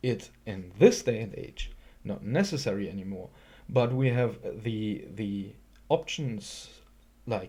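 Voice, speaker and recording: At a very slow pace, a man speaks in a medium pitch with lively intonation and a dark, mellow, somewhat breathy tone. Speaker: YouTube commentator. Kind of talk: response video commentary. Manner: halting, many fillers.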